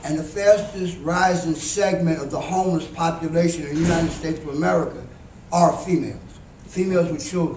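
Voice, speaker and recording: Amid noticeable background noise and audible room echo, a high-pitched man speaks at a fairly quick pace with monotone, flat intonation. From New York City (Harlem), Southern roots. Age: 70s. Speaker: homeless advocate, panelist. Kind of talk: panel talk. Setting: conference panel with audience.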